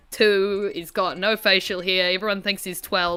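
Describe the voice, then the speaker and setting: Music plays behind a woman as she talks. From rural New Zealand. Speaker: gaming streamer. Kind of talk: casual gameplay livestream commentary. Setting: livestream.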